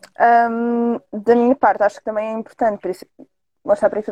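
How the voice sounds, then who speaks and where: In a dry, close sound with no echo, a woman speaks fairly slowly with a fairly high pitch and a dark, mellow tone. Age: 30s. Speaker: adult content performer and model. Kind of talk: casual interview on live stream.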